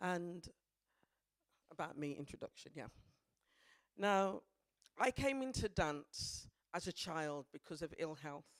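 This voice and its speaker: In a Birmingham accent, a woman with a fairly low pitch talks at a fairly slow pace with lively intonation. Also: dry, close sound with no echo. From Birmingham, England. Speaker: dance practitioner. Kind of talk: presentation talk.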